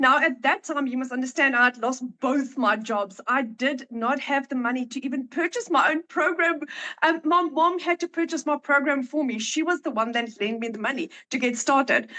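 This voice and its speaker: A woman speaks in a raised, projected voice with a bright, sharp tone at a high pitch. She keeps a moderate pace and ordinary pitch variation, the sound dry and close with no echo. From South Africa. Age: 40s. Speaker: online marketing entrepreneur. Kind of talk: testimony. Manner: hesitant, many fillers.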